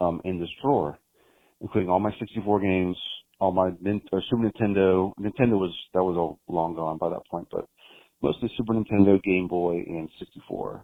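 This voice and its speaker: This man's voice is very deep and low in pitch. He moves at a fairly quick pace with fairly even intonation. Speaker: voicemail caller. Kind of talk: voicemail message. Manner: halting.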